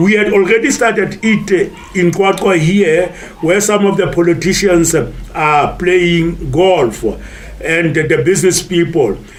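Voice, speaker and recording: With audible room echo and noticeable background noise, a man speaks at a fairly slow pace in a high pitch, with ordinary pitch variation and very even loudness. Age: 70s. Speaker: retired golfer and teacher. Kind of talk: interview testimony. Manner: hesitant, many fillers.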